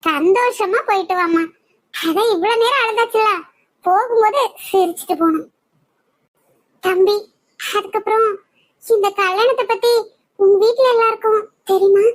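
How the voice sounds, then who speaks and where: A woman does a cartoonish character voice at an extremely high pitch, speaking at a fairly slow pace with ordinary pitch variation. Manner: warm, soothing.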